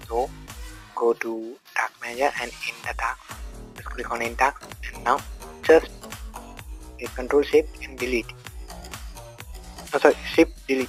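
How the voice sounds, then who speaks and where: A man at a moderate pace, with long, frequent pauses, big swings in loudness, and music in the background. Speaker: tech tutorial YouTuber. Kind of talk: screen-recorded tech tutorial.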